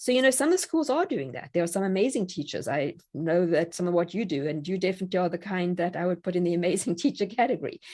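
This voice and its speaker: Very fast and with hardly any pauses, a woman speaks at a medium pitch in a dark, mellow tone with lively intonation. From South Africa. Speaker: online academy founder and homeschool teacher. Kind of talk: podcast interview.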